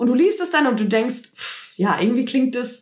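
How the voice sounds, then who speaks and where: A woman's animated tone with lively intonation at a moderate pace. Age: 30s. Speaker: movement and mindset coach, podcast host. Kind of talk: solo podcast monologue.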